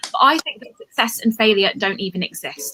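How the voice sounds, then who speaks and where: This woman has an English accent. Her pitch sits fairly high. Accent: bland English accent, from Cambridge. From England, Cambridge. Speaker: comedian. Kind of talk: stand-up.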